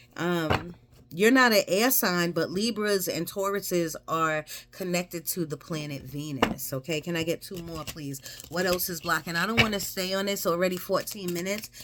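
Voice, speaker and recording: Noticeable background noise under a woman with a fairly low pitch, moderate pace and ordinary pitch variation. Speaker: tarot reader. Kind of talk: tarot reading.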